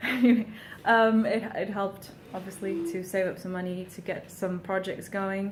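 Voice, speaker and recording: A woman's medium-pitched voice in monotone, flat intonation, with audible room echo and noticeable background noise. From Portugal. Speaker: singer-songwriter. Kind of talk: casual vlog monologue. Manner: frequent ums, hesitant.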